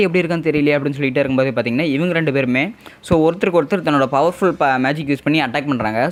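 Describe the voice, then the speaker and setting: Noticeable background noise behind a man's voice pitched fairly high. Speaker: anime recap narrator. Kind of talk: anime episode recap narration. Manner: casual, conversational.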